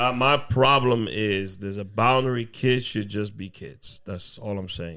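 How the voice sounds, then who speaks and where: In a Spanish accent, a man speaks at a fairly low pitch and a fairly slow pace, with hardly any pauses. The recording is very clean, with a silent background. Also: ordinary pitch variation, big swings in loudness. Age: 30s. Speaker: comedian and podcaster. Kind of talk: casual chat.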